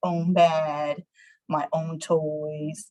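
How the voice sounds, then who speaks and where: A somewhat breathy woman's voice. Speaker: county office employee. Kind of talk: personal life story talk. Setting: video call. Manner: halting, many fillers.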